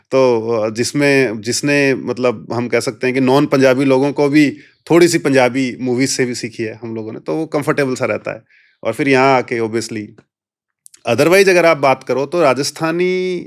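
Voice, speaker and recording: A man's pitch sits in the middle range and moves in a typical way. The recording is very clean and the background silent. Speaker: police officer. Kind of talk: interview.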